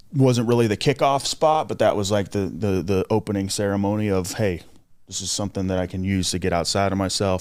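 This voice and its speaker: A plain, everyday voice with an American accent moves at a fairly quick pace with ordinary pitch variation. The recording is very clean, with a silent background. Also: man. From South Florida, Port St. Lucie. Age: 30s. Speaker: jail ministry volunteer, recovering addict. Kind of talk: testimony.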